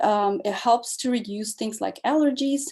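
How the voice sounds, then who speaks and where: A woman's fairly high-pitched voice, dark and mellow in tone, with lively intonation. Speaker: wellness educator. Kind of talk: online workshop talk. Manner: halting, many fillers.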